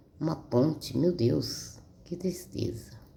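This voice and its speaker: A woman is heard with audible room echo around her voice. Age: 60s. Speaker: Bible reader. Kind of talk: casual chat; reading aloud. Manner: halting.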